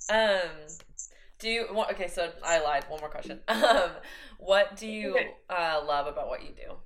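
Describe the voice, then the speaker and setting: A woman's medium-pitched voice with an American accent, lively intonation, big swings in loudness, a moderate pace and long, frequent pauses. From Oklahoma, US. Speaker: podcast host. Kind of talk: scripted intro; interview.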